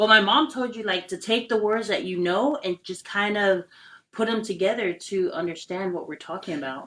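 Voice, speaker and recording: A woman with an ordinary speaking voice talks at a medium pitch and a moderate pace, with ordinary pitch variation. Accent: American. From American Samoa. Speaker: podcast host. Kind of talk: casual chat.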